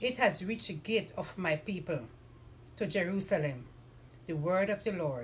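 A somewhat breathy woman talks at a moderate pace with very wide pitch swings. There is light background noise. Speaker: lay reader. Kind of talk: scripture reading. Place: home room. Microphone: camera far.

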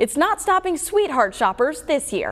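A woman is talking. Her pace is moderate. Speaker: TV news anchor. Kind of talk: TV news anchor read.

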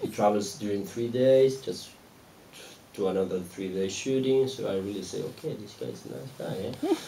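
The speech moves at a moderate pace with ordinary pitch variation. Audible room echo and light background noise come through. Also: man, fairly low pitch for a man. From Argentina. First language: Spanish. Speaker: film director; guest. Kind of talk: audience Q&A after a film screening. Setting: stage with audience at a cinema. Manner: halting, repeats words. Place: stage.

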